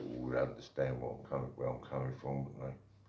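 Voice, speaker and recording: Audible room echo surrounds a man as he speaks. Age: 60s. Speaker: vlogger. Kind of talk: opinion monologue. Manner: slow, deliberate; halting.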